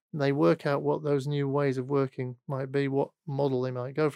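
A man's fairly high voice with a Mancunian accent, dry and close with no echo, at a moderate pace in a very clean recording over a silent background. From northern England, Manchester. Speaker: CEO of workplace consultancy. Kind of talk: podcast interview. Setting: studio. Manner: halting.

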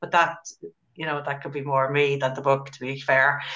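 A woman with an Irish accent speaks in a bright, sharp tone. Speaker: book club host. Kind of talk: casual chat.

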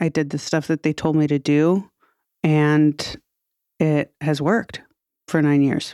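A woman speaks fairly slowly in a very deep, low voice with a dark, mellow tone, fairly even intonation and very even loudness. Long, frequent pauses break her speech, and the sound is dry and close with no echo. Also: very clean recording, silent background. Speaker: podcast host and comedian. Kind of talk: casual chat. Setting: studio. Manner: flat, unexpressive tone.

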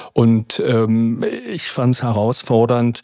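Recorded with a dry, close sound and no echo, a man speaks at medium pitch in a dark, mellow tone. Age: 50s. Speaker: probation officer. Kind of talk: interview.

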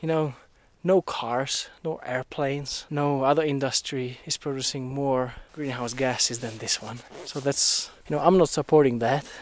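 A man speaks with a Czech accent at a moderate pace. His voice is fairly high, with fairly even intonation. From Czech Republic, southern Moravia. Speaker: electrical engineer. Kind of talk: casual interview. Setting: outdoors, hiking a snowy mountain trail. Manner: occasional stammers.

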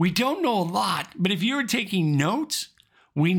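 The speaker is reading aloud in a natural voice.

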